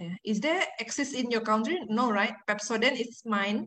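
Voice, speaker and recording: Over audible room echo, a woman's fairly high pitch comes through with a bright, sharp tone. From Indonesia. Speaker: university lecturer. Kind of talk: lecture. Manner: halting.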